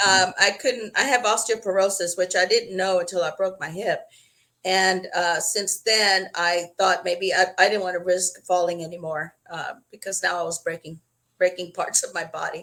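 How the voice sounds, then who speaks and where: A woman speaks with an American accent at medium pitch and a moderate pace. Her tone is bright and sharp, her intonation fairly even. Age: 60s. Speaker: wheelchair user sharing experience. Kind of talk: interview.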